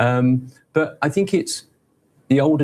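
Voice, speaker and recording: The man is somewhat breathy. His tone comes across dark and mellow. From Nigeria. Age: 60s. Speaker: media executive. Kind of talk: TV interview.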